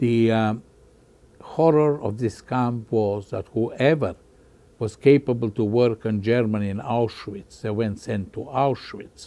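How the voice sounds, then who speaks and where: Slow-paced and dark, a man's mellow-toned voice moves at a fairly slow pace with ordinary pitch variation. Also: medium pitch for a man. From Bosnia. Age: 80s+. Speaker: Holocaust survivor. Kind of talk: interview. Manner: halting.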